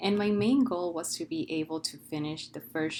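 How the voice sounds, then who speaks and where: Woman in a Spanish accent, at a moderate pace with ordinary pitch variation. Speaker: PhD student. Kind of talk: testimonial.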